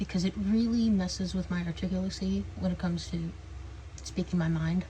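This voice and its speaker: The woman's pace is moderate. Her voice carries audible room echo. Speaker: vlogger. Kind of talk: casual chat. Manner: halting, with repetitions.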